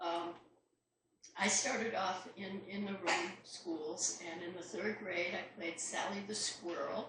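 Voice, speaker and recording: With an American accent, a woman speaks very slowly at a medium pitch, her intonation fairly even, and audible room echo surrounds her voice. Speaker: playwright. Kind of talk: talk to a club audience. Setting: club meeting with live audience and microphone. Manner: projecting stage voice.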